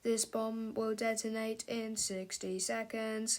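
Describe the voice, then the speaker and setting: Putting on a character voice, a woman speaks at a fairly slow pace with a fairly high pitch. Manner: robotic, flat, mechanical.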